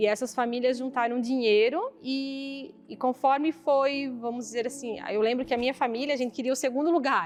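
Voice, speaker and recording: Pitch varies in an ordinary way as the speaker talks at a moderate pace. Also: woman. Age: 30s. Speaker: parish council coordinator. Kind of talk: interview.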